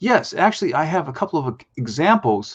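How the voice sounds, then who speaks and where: This man's voice has some breathiness. His pace is moderate. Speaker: spoken word strategist, guest on a business show. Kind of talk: live business show presentation.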